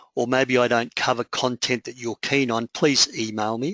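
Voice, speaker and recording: In an Australian accent, the bright, sharp voice keeps a moderate pace and fairly even intonation, recorded dry and close with no echo against a quiet background. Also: man. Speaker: public speaking coach. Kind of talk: webinar presentation. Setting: online webinar.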